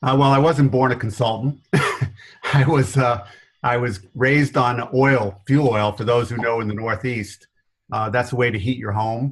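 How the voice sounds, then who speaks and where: Somewhat breathy, a man speaks at a medium pitch with an American accent. His pace is fairly slow. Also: fairly even intonation. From New York area. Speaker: business consultant. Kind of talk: interview.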